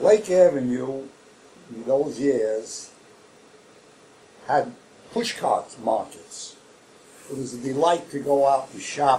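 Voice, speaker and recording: A man with a Brooklyn accent, fairly high pitch and ordinary pitch variation, a very slow pace with long, frequent pauses, big swings in loudness, and noticeable background noise. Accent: New York (Brooklyn). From New York City, Brooklyn. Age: 80s+. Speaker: oral history interviewee. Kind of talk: oral history interview. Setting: library.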